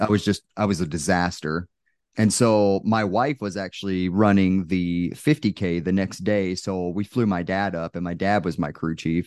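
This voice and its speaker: A man with an American accent speaks at a moderate pace in a very deep, low pitch with ordinary pitch variation, the sound dry and close with no echo over a quiet background. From Texas. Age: 30s. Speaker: Air Force firefighter and ultrarunner. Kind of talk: casual chat.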